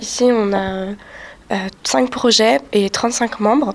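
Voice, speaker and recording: Noticeable background noise fills the recording. Over it, a woman talks at a fairly high pitch. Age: young. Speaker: student association treasurer. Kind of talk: interview.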